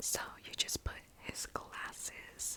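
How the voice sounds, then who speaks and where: Noticeable noise runs behind a whispered voice. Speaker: ASMR creator. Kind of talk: ASMR show-and-tell. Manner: whispering; slow.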